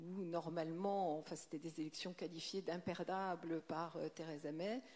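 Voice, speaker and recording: At a fairly slow pace, a woman speaks in a fairly low pitch with a dark, mellow tone and fairly even intonation. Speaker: diplomat. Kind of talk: panel discussion. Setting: stage with audience.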